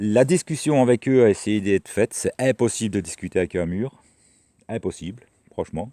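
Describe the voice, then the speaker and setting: A man with a fairly low pitch speaks at a moderate pace with lively intonation. The recording is very clean and dry, close, with no echo and a silent background. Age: 60s. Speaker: vlogger. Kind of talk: casual vlog monologue. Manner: hesitant with many repetitions.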